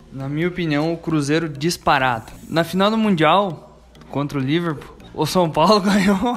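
A man with a high pitch speaks at a moderate pace while noticeable background noise plays. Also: ordinary pitch variation. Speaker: football fan panelist. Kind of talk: casual debate chat.

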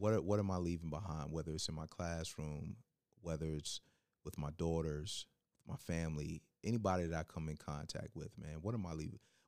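A man with an American accent talks at a fairly quick pace with a dark, mellow tone and a very deep, low pitch. His intonation stays fairly even. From Virginia, Hampton. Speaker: educator. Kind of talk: casual interview podcast. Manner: halting.

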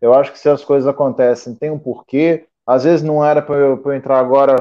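Monotone and flat in intonation, the voice moves at a moderate pace. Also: man. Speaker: aspiring pilot, former bus driver. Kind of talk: casual chat. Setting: video call.

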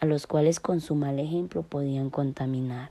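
With a dark, mellow tone, a woman speaks at a fairly slow pace with fairly even intonation. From Colombia, Antioquia (Segovia). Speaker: university student. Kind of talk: scripted narration. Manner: formal.

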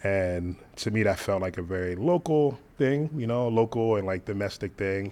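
Over a quiet background, a man with an American accent speaks at a moderate pace. His pitch is fairly low and his intonation lively. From Philadelphia and Delaware, US. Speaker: DJ and entrepreneur. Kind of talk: interview.

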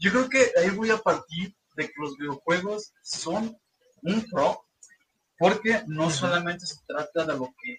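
A man with a high pitch and lively intonation talks at a fairly slow pace. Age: 20s. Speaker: gaming content creator. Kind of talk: casual chat.

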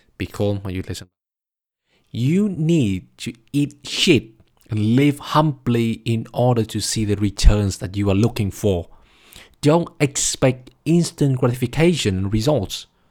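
Lively intonation in a Vietnamese accent at a fairly slow pace, on a very clean recording with a silent background. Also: man, medium pitch for a man. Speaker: podcast host, master's student. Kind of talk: solo monologue podcast.

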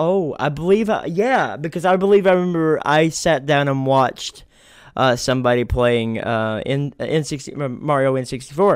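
Using an unremarkable speaking voice, a man talks at a moderate pace with lively intonation and a fairly high pitch. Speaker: podcast host and streamer. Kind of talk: casual interview chat. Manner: casual, repetitive with frequent restarts.

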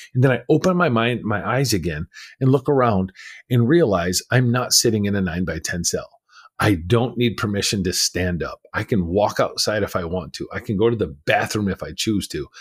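Recorded very cleanly against a silent background, a man with a medium pitch speaks in a somewhat breathy voice with lively intonation. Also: moderate pace. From California, US. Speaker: abuse survivor, former prisoner, speaker and mindset coach. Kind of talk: interview, personal testimony.

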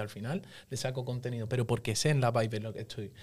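Speaking at a fairly quick pace, a man sounds somewhat breathy, with fairly even intonation. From Seville, Spain. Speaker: musician. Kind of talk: casual chat.

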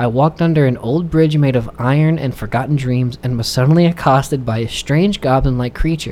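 A natural reading voice and its ordinary pitch variation

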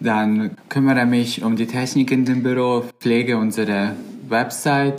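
A man with a Bosnian accent talks at a moderate pace, his pitch medium and his intonation fairly even. Noticeable background noise runs beneath his voice. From Bosnia and Herzegovina. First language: Bosnian (speaking German). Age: 20s. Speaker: volunteer campaign worker. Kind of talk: casual interview chat.

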